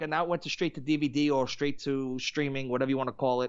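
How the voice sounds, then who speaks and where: A man talks at a very fast pace. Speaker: musician and podcast guest. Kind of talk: casual chat.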